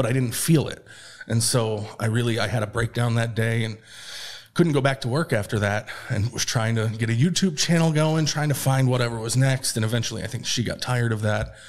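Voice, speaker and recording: A man with an American accent talks at a fairly quick pace in a medium pitch. His voice is somewhat breathy, with ordinary pitch variation. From upstate New York. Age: 30s. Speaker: unemployed former tech program manager. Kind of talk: personal interview testimony. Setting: studio on camera.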